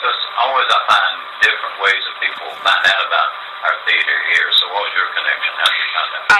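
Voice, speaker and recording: A man races along at a very fast pace while noticeable background noise and audible room echo fill the recording. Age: old. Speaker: radio host. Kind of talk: radio interview. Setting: radio studio.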